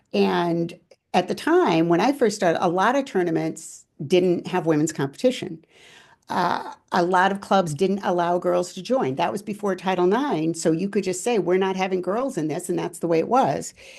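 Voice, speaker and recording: Against a quiet background, a woman with an American accent talks in an unremarkable speaking voice, fairly low in pitch, with ordinary pitch variation at a moderate pace. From California. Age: 60s. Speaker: former judo world champion. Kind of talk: interview.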